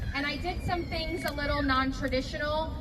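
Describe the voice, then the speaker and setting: Noticeable background noise and audible room echo fill the clip. The woman in it talks at a moderate pace. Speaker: state legislator. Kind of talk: public speech. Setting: outdoor candlelight vigil. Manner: loud.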